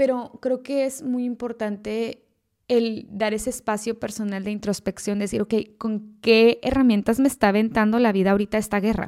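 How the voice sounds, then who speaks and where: Her voice, fairly high in pitch with a dark, mellow tone, moves with fairly even intonation as this woman speaks. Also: moderate pace, very clean recording, silent background. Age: 30s. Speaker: podcast host. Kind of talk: casual solo podcast monologue. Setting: empty house.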